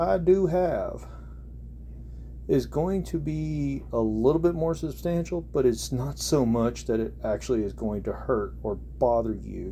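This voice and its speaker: Speaking at a very slow pace with an American accent, a man is heard with audible room echo. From central Oklahoma. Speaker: hobbyist gun reviewer. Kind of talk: product review. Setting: bedroom. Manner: halting.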